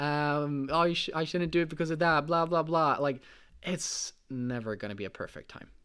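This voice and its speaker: An animated, bright and sharp tone comes through on a very clean recording with a silent background. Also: man, fairly high pitch for a man, ordinary pitch variation, moderate pace. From Sweden. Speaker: podcast host, online entrepreneur. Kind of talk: solo podcast monologue.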